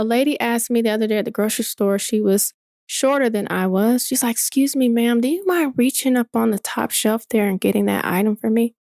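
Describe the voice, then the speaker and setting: A woman with an American accent talks at a fairly quick pace with hardly any pauses, in an ordinary speaking voice that is fairly high with ordinary pitch variation. Her loudness stays very even, and the sound is dry and close with no echo. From US South, Atlanta area, Georgia. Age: 40s. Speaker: entrepreneur. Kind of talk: casual interview conversation.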